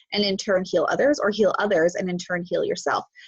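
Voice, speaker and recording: With a normal speaking voice, a woman talks in a fairly high pitch and lively intonation. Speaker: spiritual teacher livestream host. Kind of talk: live stream talk. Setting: live stream on Zoom and Facebook.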